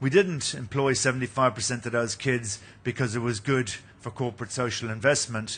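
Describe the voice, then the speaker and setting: The tone of this man's medium-pitched voice is bright and sharp. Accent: Irish. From Ireland, Munster. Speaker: company executive presenting at a mining conference. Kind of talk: conference presentation.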